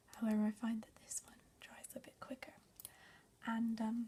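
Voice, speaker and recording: A woman speaks in a whisper. Her voice is soft-spoken. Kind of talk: ASMR makeup tutorial, casual talk to camera. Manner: whispered, soft-spoken.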